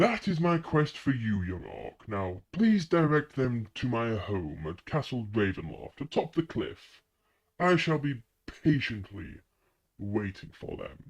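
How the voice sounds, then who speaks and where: A man's put-on character voice at medium pitch and a fairly slow pace, over a quiet background. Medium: actual play. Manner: courtly, grandiloquent, smoothly manipulative.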